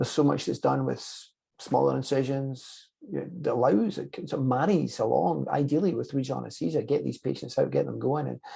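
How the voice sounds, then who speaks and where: With a Scottish accent, a man talks at a fairly quick pace with hardly any pauses. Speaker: anesthesiologist interviewer. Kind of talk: interview. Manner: repeats words often.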